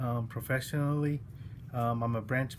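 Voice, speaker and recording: Somewhat breathy, a man talks at a fairly quick pace with monotone, flat intonation. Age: 40s. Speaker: college student giving class speech. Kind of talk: self-introduction speech. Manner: halting, many fillers.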